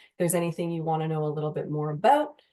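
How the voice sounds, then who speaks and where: With a slight Canadian accent, the voice has a dark, mellow tone. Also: woman. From Canada, Windsor, Ontario. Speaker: university recruitment manager. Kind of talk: presentation.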